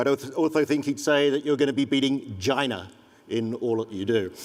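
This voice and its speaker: At a moderate pace, a man with a medium pitch talks with ordinary pitch variation. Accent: English. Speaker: economic development consultant. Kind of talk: conference presentation.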